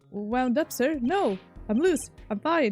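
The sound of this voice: A woman's put-on character voice, high-pitched and shrill with very wide pitch swings, at a fairly slow pace over background music.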